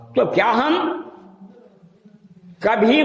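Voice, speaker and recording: Heard through noticeable background noise and audible room echo, a man speaks with ordinary pitch variation. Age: old. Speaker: imam and preacher. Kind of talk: sermon. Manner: soft-spoken.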